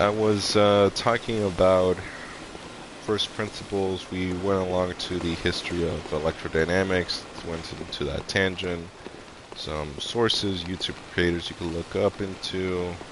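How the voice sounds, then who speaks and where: A man with a slight non-native accent speaks at a very deep, low pitch and a fairly slow pace. His intonation is fairly even, with noticeable background noise behind him. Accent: slightly non-native English. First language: Spanish. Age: 30s. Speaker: live streamer. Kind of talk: casual live stream monologue. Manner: halting, many fillers; murmuring, slurring.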